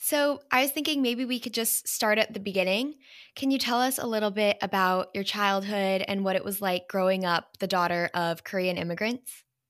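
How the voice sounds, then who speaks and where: A woman with an unremarkable speaking voice talks at a moderate pace and medium pitch with ordinary pitch variation and hardly any pauses, on a very clean recording with a silent background. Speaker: podcast host. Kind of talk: casual interview.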